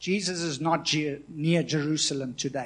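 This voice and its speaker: A normal speaking voice from a man, fairly high in pitch, with fairly even intonation. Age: 40s. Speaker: pastor. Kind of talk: sermon. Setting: church.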